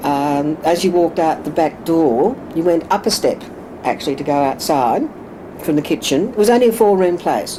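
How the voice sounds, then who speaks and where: A woman with an Australian accent and lively intonation, over noticeable background noise. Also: fairly low pitch for a woman, moderate pace. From Australia, Sydney (Woolloomooloo). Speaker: oral history interviewee. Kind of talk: oral history interview. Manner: halting.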